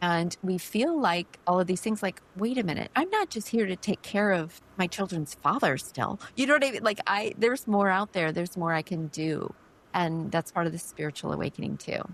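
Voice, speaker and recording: At a moderate pace, a woman talks in a medium pitch with lively intonation. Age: 50s. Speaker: podcast host. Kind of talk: interview conversation. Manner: animated.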